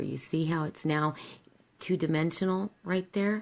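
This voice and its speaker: Soft-spoken and fairly slow, a woman talks with a very deep, low pitch. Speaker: makeup tutorial host. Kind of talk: tutorial.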